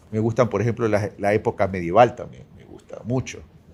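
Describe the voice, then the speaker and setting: A man with a plain, everyday voice at a moderate pace, medium in pitch with ordinary pitch variation. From Ecuador. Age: 60s. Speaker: presidential candidate. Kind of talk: interview.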